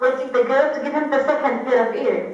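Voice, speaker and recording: High-pitched and with a non-native accent, a woman speaks through audible room echo and noticeable background noise. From Kuwait. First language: Arabic. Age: 20s. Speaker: activist. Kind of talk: testimony. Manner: halting.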